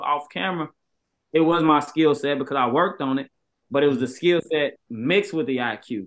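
With lively intonation and a fairly quick pace, a man's voice comes through over a quiet background. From Chicago. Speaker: basketball trainer and former pro player; basketball trainer. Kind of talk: casual interview. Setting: video call. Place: home room. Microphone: video call.

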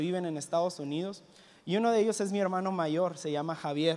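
Here a man speaks with a high pitch. His pitch variation is ordinary. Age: 20s. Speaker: youth pastor; preacher. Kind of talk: sermon. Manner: halting, repeats words. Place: church. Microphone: handheld.

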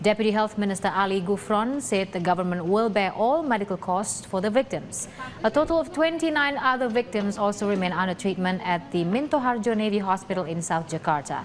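The speech moves at a fairly quick pace with lively intonation. Noticeable background noise is present. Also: woman, medium pitch for a woman. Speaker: news presenter. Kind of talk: scripted English-language TV news report voiceover. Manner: measured, even-paced formal delivery.

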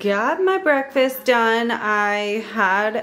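Light background noise sits under the recording. A woman speaks with ordinary pitch variation. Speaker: mom vlogger. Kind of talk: casual vlog chat. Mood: chatty, lightly laughing. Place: kitchen. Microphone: phone near.

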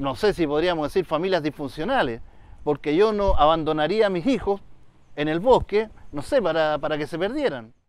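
Moderate pace and lively intonation, in a dry sound with no echo. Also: man. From Chile, Valparaíso region (Quilpué); Valparaíso region, Chile. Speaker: illustrator and writer; interviewee. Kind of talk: interview. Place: open country.

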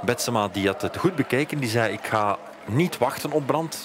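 With music in the background, a man's ordinary pitch variation comes through at a moderate pace. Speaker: cyclocross commentator. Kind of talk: sports commentary, race highlights voice-over. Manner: fluent, narrating past events in recap style.

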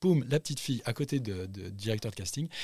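A somewhat breathy man speaks at a fairly quick pace with ordinary pitch variation, on a very clean recording with a silent background. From Central Africa. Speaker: actor. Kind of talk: interview. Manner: animated.

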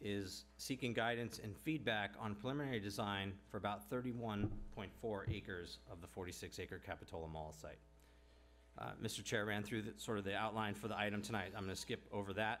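Over light background noise, a man with an ordinary speaking voice talks at a moderate pace, his fairly low pitch showing ordinary variation. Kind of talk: staff report presentation. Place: hall. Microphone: podium.

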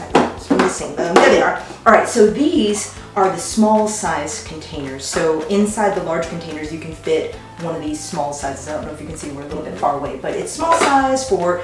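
A woman speaks at a moderate pace in a room with audible echo while music plays clearly in the background. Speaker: product reviewer. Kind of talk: product demo tutorial. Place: kitchen.

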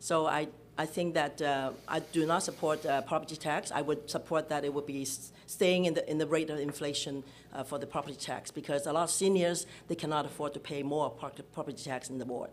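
A woman's very deep, low voice at a fairly quick pace, with fairly even intonation and light background noise. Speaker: municipal election candidate; election candidate. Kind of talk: political debate. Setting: stage with audience. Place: hall. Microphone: podium.

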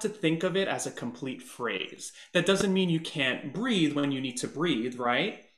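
There is audible room echo over a quiet background. A man speaks at a moderate pace. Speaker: performer and guest vocal coach. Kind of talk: voice coaching session. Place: home room. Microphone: webcam.

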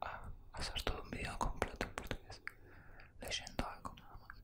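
Whispering and soft-spoken, a man talks at a fairly slow pace over loud background noise. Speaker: content creator. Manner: soft close-mic Spanish whisper. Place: home room. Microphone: studio mic.

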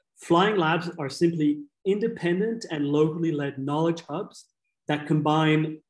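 A man is heard with audible room echo against a quiet background. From Kenya (Nairobi); Kenya. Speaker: nonprofit co-founder and CEO; guest. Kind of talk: webinar presentation. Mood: earnest, candid.

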